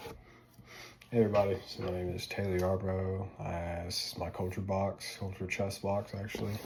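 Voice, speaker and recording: An American accent in a monotone, flat delivery, with audible room echo and noticeable background noise. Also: man, very deep, low pitch for a man, moderate pace. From US South, North Louisiana. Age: 20s. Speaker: student. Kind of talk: casual class presentation video. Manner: informal, filler-heavy.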